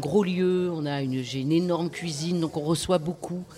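Against noticeable background noise, a woman talks at a moderate pace with a very deep, low pitch and fairly even intonation. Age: 60s. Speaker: festival director. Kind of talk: casual chat. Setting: live radio recording in a record shop.

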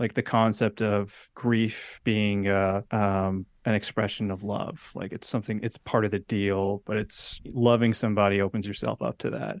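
A man talks at a moderate pace with hardly any pauses, in a fairly low pitch and fairly even intonation. It's a plain, everyday voice, and the sound is dry and close with no echo. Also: quiet background. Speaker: musician and podcast host. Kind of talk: casual chat about music.

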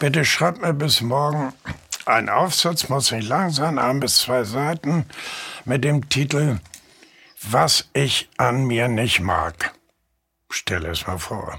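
At a very slow pace with long, frequent pauses, a man speaks in a medium pitch with lively intonation, a bright, sharp tone and vocal fry. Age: 80s+. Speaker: journalist and novelist. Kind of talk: interview conversation.

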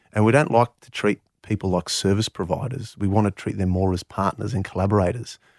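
In an Australian accent, the speaker moves at a fairly quick pace with hardly any pauses, fairly even intonation and big swings in loudness, all in a very clean, silent-background recording with a dry, close sound and no echo. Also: man, fairly low pitch for a man. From Canberra, Australia. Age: 40s. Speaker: property developer. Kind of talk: interview.

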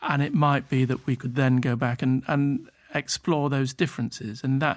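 A man speaks with a British accent at a medium pitch. His intonation is fairly even. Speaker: documentary producer. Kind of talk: casual chat. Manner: halting.

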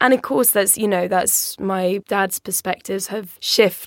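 A woman with an English accent and a medium pitch talks at a moderate pace in a dry, close sound with no echo. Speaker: podcast co-host. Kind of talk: casual chat. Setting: studio.

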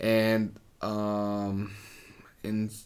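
A man with a Mexican accent speaks at a fairly low pitch. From Mexico, Ciudad Juarez. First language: Spanish. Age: 20s. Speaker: ministry worker. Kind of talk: interview. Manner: halting.

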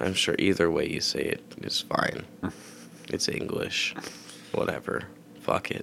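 Quiet speech comes at a fairly slow pace with long, frequent pauses against noticeable background noise. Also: man. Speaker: podcast host. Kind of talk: casual chat. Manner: quiet, low volume.

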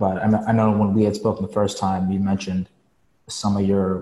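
A man's fairly low, somewhat breathy voice, dark and mellow in tone, with monotone, flat intonation. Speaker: client in training program. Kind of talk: Q&A coaching call.

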